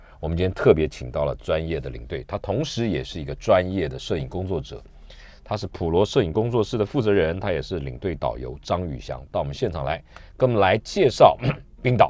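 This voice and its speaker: Vocal fry marks a man's very deep, low voice as he speaks fairly quickly with very wide pitch swings. The sound is dry, with no echo. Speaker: radio show host. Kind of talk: radio host introduction. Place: studio.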